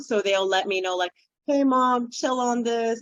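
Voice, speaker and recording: A woman with a Spanish accent talks at a fairly slow pace with ordinary pitch variation. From Dominican Republic, raised in New York City. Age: 40s. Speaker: children's book author. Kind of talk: interview conversation.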